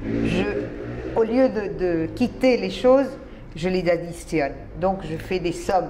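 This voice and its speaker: A woman with a Spanish accent at a very slow pace, long, frequent pauses, audible room echo and noticeable background noise. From Colombia. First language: Spanish (speaking French). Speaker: writer and immigrant to Israel. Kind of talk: interview.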